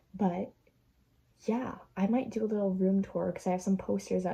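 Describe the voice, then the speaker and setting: The voice is somewhat breathy with a dark, mellow tone, moving at a moderate pace with fairly even intonation. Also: woman. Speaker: vlogger. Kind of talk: casual vlog, reading short stories aloud. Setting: bedroom.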